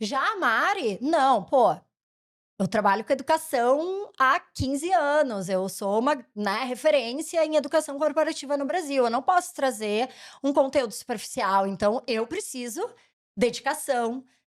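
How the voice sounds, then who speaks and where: In a very clean recording with a silent background, a woman with a southern Brazilian accent talks at a fairly slow pace in a high voice. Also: lively intonation. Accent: gaúcho accent, still present. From Rio Grande do Sul, southern Brazil. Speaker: education company founder and CEO. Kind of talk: interview.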